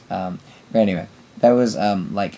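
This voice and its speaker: Here a man is speaking. He has a British accent. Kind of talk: casual rambling monologue to friends and camera.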